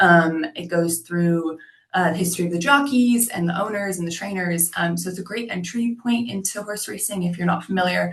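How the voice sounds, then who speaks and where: With an American accent, a woman speaks at a fairly quick pace in a somewhat breathy, medium-pitched voice with ordinary pitch variation. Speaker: tourism representative. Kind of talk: webinar presentation. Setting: video call. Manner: many filler words (um, uh).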